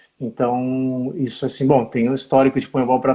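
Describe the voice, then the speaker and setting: Dark, mellow male voice with a southern Brazilian accent. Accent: southern Brazilian (gaúcho). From southern Brazil, Rio Grande do Sul. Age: 50s. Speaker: physical education teacher. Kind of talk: live-stream interview. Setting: Instagram live video.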